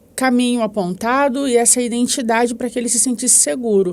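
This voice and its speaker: This woman speaks with a high pitch. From Rio de Janeiro, Brazil. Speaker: psychoanalyst. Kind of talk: podcast interview answer.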